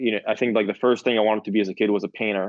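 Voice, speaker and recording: A man's fairly low voice, monotone and flat, with a Spanish accent. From Peru (Lima), then Miami from age 14. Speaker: film director. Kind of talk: interview. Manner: halting, many fillers and restarts.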